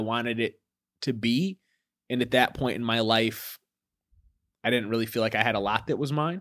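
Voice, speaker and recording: On a very clean recording with a silent background, a man with a plain, everyday voice and an American accent talks at a fairly quick pace with fairly even intonation. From Michigan, Ypsilanti. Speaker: poet. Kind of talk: interview.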